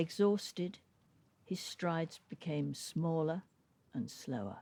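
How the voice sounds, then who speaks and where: A woman with vocal fry and a very deep, low pitch, dark and mellow in tone. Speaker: storyteller. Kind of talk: folk tale reading.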